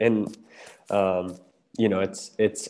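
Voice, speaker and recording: A man speaks very slowly with a Midwestern American accent in a fairly low pitch. His tone is dark and mellow, with monotone, flat intonation. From US Midwest, southeast Ohio. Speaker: campus ministry staff. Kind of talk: interview on faith topic.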